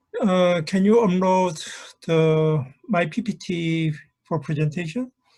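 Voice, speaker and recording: A man's high voice with a Korean accent and ordinary pitch variation. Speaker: professor. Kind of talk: conference presentation. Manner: halting.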